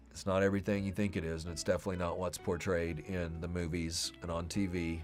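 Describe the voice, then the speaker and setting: Over music in the background, a man with an American accent and a very deep, low pitch talks at a very fast pace with fairly even intonation. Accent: American twang. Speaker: podcast host. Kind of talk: livestream talk to viewers.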